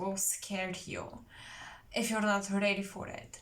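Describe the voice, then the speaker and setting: A woman's fairly high voice at a fairly slow pace, with audible room echo. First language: not English. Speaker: tarot reader. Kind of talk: psychic tarot reading.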